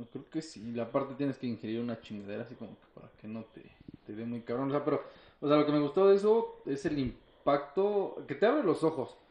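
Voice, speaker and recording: A fairly high-pitched man talks at a fairly quick pace, his intonation lively and his loudness swinging widely. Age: 20s. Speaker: mechanical engineer. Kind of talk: casual chat. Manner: animated.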